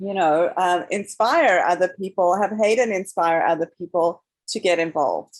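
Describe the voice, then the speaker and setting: Speaking at a moderate pace, a woman with a medium pitch talks with a non-native accent. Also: ordinary pitch variation. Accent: foreign. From South Africa. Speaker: documentary filmmaker. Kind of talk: panel interview.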